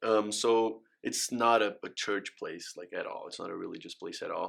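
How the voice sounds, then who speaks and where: Spoken at a moderate pace in a Brazilian accent, the voice has big swings in loudness. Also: man. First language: Portuguese. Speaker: college athlete. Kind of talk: interview. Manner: halting.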